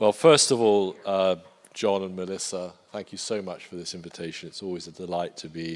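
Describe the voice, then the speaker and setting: Speaking with an English accent, a man with a very deep, low pitch talks at a fairly quick pace, with fairly even intonation and big swings in loudness. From Poland. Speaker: defence industry strategist. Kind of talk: panel talk. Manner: hesitant, many fillers.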